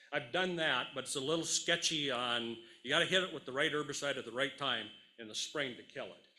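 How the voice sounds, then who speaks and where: A man's fairly high-pitched voice, bright and sharp in tone, with audible room echo. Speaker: farmer and conference speaker. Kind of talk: conference Q&A. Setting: conference stage with audience. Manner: energetic.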